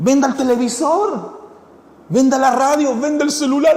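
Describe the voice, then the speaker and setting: Through audible room echo and noticeable background noise, a man with an extremely high pitch speaks at a moderate pace in an animated tone. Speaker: pastor. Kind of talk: sermon. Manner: animated, engaging audience.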